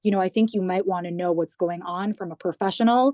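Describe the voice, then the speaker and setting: A woman with an American accent speaks at a very fast pace and medium pitch, her dark, mellow tone and fairly even intonation captured in a dry, close sound with no echo over a quiet background. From US, New York. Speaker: government digital communications head. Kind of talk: interview.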